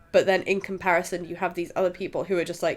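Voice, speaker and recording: The speaker is a woman. She talks with a British accent. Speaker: podcast host, film reviewer. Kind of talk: casual chat, film review. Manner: halting with fillers.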